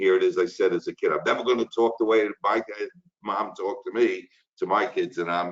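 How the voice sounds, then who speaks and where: With a Brooklyn accent, a man speaks at a moderate pace. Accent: Brooklyn, New York. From Brooklyn, New York. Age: 60s. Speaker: insurance instructor. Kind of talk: webinar lecture. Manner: casual, chatty with fillers.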